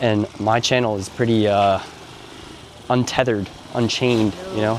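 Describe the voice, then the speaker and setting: Over noticeable background noise, a man speaks in a flat monotone. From Canada. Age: 30s. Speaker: vlogger. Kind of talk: casual vlog chat.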